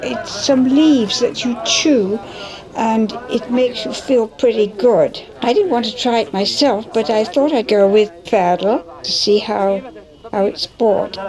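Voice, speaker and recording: With music playing in the background, a woman talks at a fairly slow pace in a fairly high pitch, her pitch varying in an ordinary way. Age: 80s+. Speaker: travel documentary narrator. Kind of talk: documentary narration.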